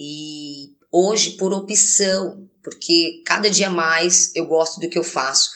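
Speaking very slowly, this woman has a fairly low voice. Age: 30s. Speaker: domestic cleaner. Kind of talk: testimony.

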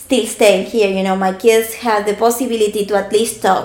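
In a strong Argentine accent, a woman speaks at a fairly high pitch with fairly even intonation. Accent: strong Argentinian Spanish. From Argentina. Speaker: podcast guest.

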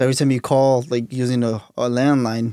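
The tone is dark and mellow, delivered with monotone, flat intonation. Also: man. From Mexico. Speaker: podcast host. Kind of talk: casual chat.

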